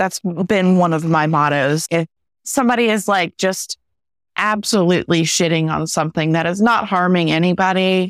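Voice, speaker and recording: A woman has a normal speaking voice at a fairly low pitch, with ordinary pitch variation and very even loudness at a moderate pace. The recording is very clean with a silent background, and the sound is dry and close with no echo. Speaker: podcast host. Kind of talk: casual chat.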